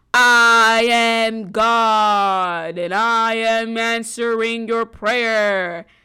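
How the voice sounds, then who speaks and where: A woman's put-on character voice, booming and resonant, fairly high in pitch, at a very slow pace, on a very clean recording with a silent background. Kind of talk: grand, movie-like.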